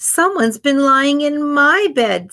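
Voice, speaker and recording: A woman speaks at a fairly slow pace in a high-pitched, put-on character voice. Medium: read story. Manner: mild, calm.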